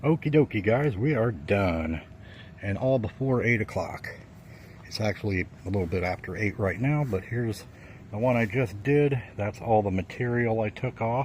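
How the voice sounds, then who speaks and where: A man with a fairly low pitch and a somewhat breathy voice speaks at a moderate pace with ordinary pitch variation. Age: 60s. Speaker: plant grower. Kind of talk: casual video tour. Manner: casual, many fillers.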